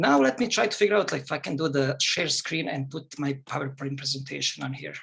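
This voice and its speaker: A man talks at a fairly quick pace with vocal fry. His pitch is fairly high, with ordinary variation. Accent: non-native. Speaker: psychologist. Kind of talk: lecture. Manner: fast.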